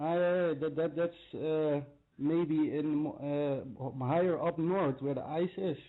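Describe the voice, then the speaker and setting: A very slow pace in a Dutch accent. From Netherlands, Limburg. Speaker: caller. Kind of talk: call-in chat. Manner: halting, many hesitations.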